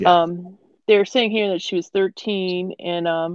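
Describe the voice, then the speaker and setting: Here a woman uses an ordinary speaking voice, fairly low in pitch, with fairly even intonation. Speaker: podcast co-host. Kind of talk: casual chat about a horror film. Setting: video call.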